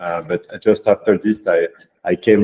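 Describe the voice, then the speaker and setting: A man with a French accent, dry and close with no echo. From France. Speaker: data scientist turned AI consultancy founder. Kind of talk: workshop presentation. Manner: halting, many fillers.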